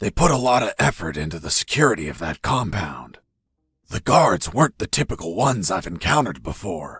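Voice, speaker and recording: Speaking at a fairly quick pace, a man with a fairly low pitch makes very wide pitch swings. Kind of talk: hard-boiled voice-over. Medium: machinima. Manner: deadpan, gravelly understatement.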